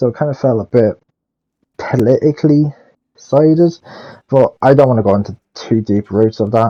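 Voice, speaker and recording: Dark and mellow in tone, the man's voice sits at a medium pitch with ordinary pitch variation. He speaks at a moderate pace, and the sound is dry and close with no echo. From Ireland. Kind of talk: casual game review commentary. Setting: headset mic, poor audio. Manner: loud.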